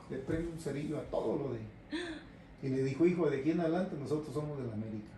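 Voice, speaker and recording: A man speaks at a very fast pace with a fairly high pitch and ordinary pitch variation. Audible room echo and noticeable background noise are present. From Mexico, Jalisco (Guadalajara). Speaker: radio host and promotions director. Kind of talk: casual interview, life story.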